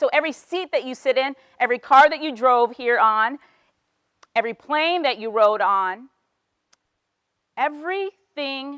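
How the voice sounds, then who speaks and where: A woman's raised, projected voice with an American accent, high and bright with a sharp tone and very wide pitch swings. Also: dry, close sound with no echo. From Bahamas. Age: 30s. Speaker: motivational speaker. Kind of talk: inspirational talk.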